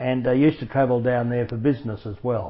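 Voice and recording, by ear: At a fairly quick pace, a man speaks at a medium pitch with fairly even intonation.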